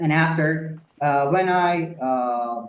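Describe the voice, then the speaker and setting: A man's fairly high voice with a Persian accent and ordinary pitch variation. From Iran, Tehran. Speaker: architect and company founder. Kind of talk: interview. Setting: live video podcast. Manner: halting with many fillers.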